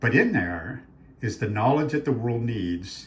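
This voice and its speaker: A man with a medium-pitched voice talks with ordinary pitch variation, and audible echo fills the room. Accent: American. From Arizona. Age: 60s. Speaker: author and faith speaker. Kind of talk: talk promoting his books. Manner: animated.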